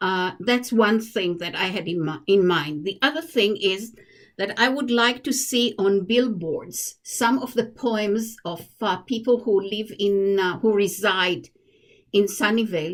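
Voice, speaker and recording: A woman with an Israeli accent, medium pitch, ordinary pitch variation and a fairly slow pace. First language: Hebrew. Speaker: commission applicant, poet. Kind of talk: interview. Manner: halting.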